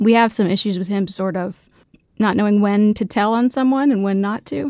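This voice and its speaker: In a Tennessee accent, a woman speaks at a medium pitch with ordinary pitch variation and a moderate pace, the sound dry and close with no echo on a very clean recording with a silent background. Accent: Southern US (Tennessee). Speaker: litigant, mother. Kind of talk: casual dispute testimony.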